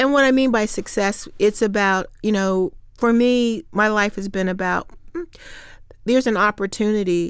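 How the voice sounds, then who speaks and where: A woman with a Midwestern US accent speaks at a moderate pace, her fairly high voice showing ordinary pitch variation. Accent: US Midwest. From Ohio, Hamilton. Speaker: state senator and former mayor. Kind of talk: interview.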